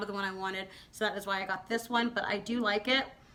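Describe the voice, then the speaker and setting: This woman's tone is bright and sharp. She moves along at a fairly quick clip. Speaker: beauty vlogger. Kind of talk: product review vlog. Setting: filming at home at night. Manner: fast; stumbling.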